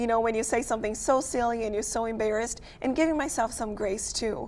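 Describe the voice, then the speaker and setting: Audible room echo surrounds a woman speaking very fast at a fairly high pitch with fairly even intonation. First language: not English. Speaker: photographer and business owner. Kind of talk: casual chat.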